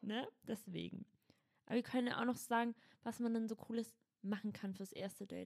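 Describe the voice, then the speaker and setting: At a moderate pace, a woman with a dark, mellow, somewhat breathy voice speaks at a fairly high pitch with fairly even intonation. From Berlin (Schöneberg). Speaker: podcast co-host. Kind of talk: casual chat with role-play.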